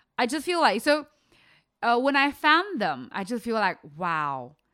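With a Chinese accent, a woman talks in an animated, bright, sharp tone with very wide pitch swings, on a very clean recording with a silent background. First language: Mandarin Chinese. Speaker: vegan content creator. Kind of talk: casual interview. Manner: halting.

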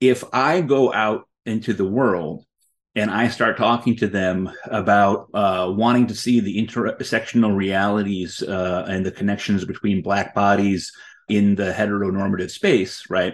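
Against a quiet background, a man with an American accent uses a plain, everyday voice, fairly low in pitch and fairly even in intonation. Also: fairly slow pace. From United States. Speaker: journalist and author. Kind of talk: interview.

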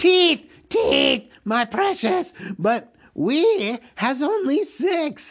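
In a put-on character voice, high-pitched and hissing, the speaker moves at a very slow pace with very wide pitch swings.

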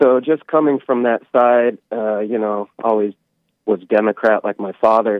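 This is a normal speaking voice: a man at a medium pitch. He goes at a fairly slow pace with fairly even intonation. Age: 40s. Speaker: caller, musician. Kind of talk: casual chat. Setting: phone call.

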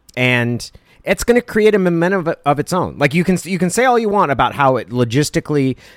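A normal speaking voice from a man, fairly quick and with lively intonation, recorded dry and close with no echo. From southern Oregon (Klamath Falls). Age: 40s. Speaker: podcast co-host. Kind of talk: casual chat.

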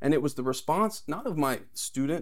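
This man has a fairly high voice, an American accent and an unremarkable speaking voice. He talks at a moderate pace with lively intonation. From Texas. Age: young. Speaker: political candidate. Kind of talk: interview.

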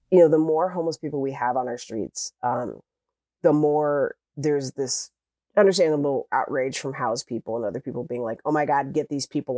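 A man's fairly high voice with an American accent and ordinary pitch variation, dry and close with no echo, on a very clean recording against a silent background. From US Midwest, suburb of Cleveland, Ohio. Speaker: newspaper columnist and reporter. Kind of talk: interview conversation. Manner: conversational, many fillers.

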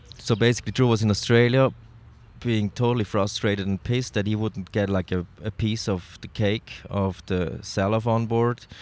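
In a very clean recording with a silent background, a man speaks with a Swiss German accent. His voice is fairly low, with fairly even intonation and a moderate pace. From Switzerland (Zurich). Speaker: snowboard filmmaker and photographer. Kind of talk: casual interview. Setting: in person in Zurich.

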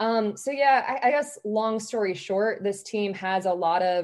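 Fairly slow and with lively intonation, a woman speaks at a fairly high pitch in an American accent. It is a plain, everyday voice, heard against a quiet background. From Georgia, US South (about an hour south of Atlanta). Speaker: sports journalist. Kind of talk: casual interview chat.

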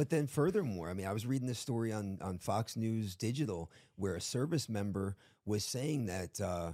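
On a very clean recording with a silent background, a man with an American accent speaks at a moderate pace. His voice is fairly low and dark, mellow in tone, with ordinary pitch variation. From South Florida. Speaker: pastor.

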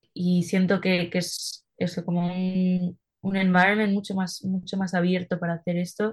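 Somewhat breathy and at a medium pitch, a woman talks at a fairly slow pace with monotone, flat intonation and hardly any pauses. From Spain (Madrid). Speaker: singer-songwriter. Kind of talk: interview.

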